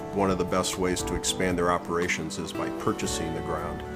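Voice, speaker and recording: A man speaks with music in the background. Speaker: farm manager and real estate broker. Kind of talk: interview answer. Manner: conversational, with fillers.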